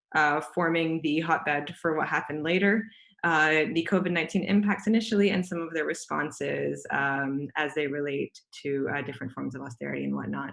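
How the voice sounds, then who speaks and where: Vocal fry shows up in this voice, whose pitch varies in an ordinary way. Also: woman, very deep, low pitch for a woman, fairly quick pace. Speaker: panelist at a policy webinar. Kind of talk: presentation. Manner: fast.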